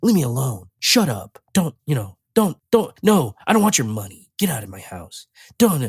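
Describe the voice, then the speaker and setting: The speaker uses a put-on character voice with a low-to-middle pitch. The pitch swings very widely at a moderate pace. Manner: flat, monotone, no inflection.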